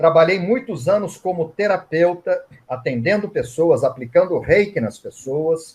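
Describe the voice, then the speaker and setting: High male voice with lively intonation at a fairly slow pace. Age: 60s. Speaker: reiki master and author. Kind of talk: interview at online event. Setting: online live event.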